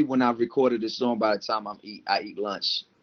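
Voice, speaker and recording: A man with an American accent talks at a medium pitch and fairly even intonation, the sound dry and close with no echo. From Maryland, US (Montgomery and PG County). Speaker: rapper. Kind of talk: interview. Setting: podcast interview. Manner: halting, repeats words.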